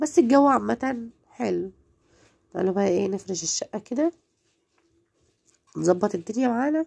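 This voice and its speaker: A woman's fairly slow speech with very wide pitch swings and long, frequent pauses. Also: medium pitch for a woman, dry, close sound with no echo. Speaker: home lifestyle vlogger. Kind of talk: home routine vlog narration. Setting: at home.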